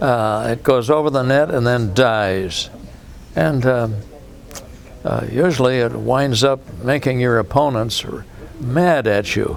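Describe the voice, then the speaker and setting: Noticeable background noise runs under the voice. The delivery is very slow, with lively intonation. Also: man. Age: 90s. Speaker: senior tennis player. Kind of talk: interview.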